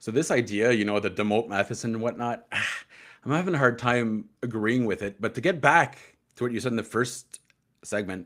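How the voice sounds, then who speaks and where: A man's medium-pitched voice at a fairly quick pace, in a very clean recording with a silent background. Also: ordinary pitch variation. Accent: Quebec. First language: French. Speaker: hockey podcast co-host. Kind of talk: casual chat.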